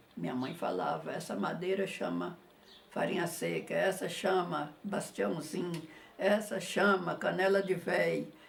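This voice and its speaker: Noticeable background noise is heard as a woman speaks at a fairly slow pace. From Jequitinhonha Valley, Minas Gerais, Brazil. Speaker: visual artist. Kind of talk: interview answer. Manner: shy, modest.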